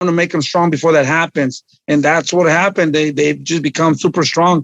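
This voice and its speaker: The voice has a Spanish accent and fairly even intonation, heard in a dry, close sound with no echo. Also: man. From Mexico, Guerrero. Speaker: boxing trainer. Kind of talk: podcast interview. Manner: halting.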